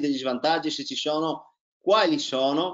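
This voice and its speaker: An ordinary speaking voice with lively intonation moves at a fairly slow pace against a quiet background. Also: man. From Italy, Trieste; Italy. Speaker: tennis coach and interviewer; tennis coach, interviewer. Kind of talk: casual interview. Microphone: video call.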